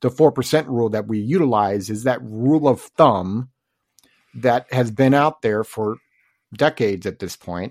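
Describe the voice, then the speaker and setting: This man has an unremarkable speaking voice, medium in pitch, with ordinary pitch variation and a moderate pace. The sound is dry and close with no echo, a very clean recording over a silent background. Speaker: podcast host and financial advisor. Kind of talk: casual chat.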